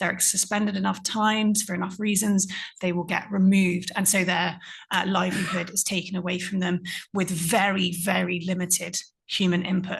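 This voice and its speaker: A woman speaks at a moderate pace against a quiet background, her voice somewhat breathy and medium in pitch. Her intonation is monotone and flat. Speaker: conference panelist. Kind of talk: panel talk.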